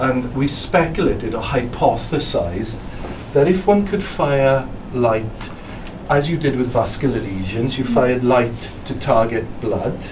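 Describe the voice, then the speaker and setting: A speaker with a Welsh accent talks at a fairly slow pace, the intonation lively. Noticeable background noise and audible room echo are present. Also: man, medium pitch for a man. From South Wales. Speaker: physicist. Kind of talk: presentation.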